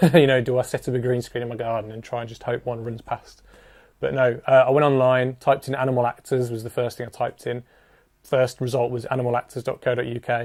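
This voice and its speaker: Very fast, a man rattles through his words. His intonation stays monotone and flat. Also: medium pitch for a man. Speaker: music video director. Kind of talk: casual narration. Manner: subdued.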